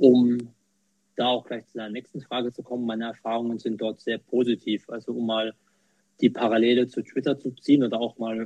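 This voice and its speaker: This man speaks at a medium pitch. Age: 20s. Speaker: quality manager and accessibility volunteer. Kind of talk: interview. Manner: hesitant, many fillers.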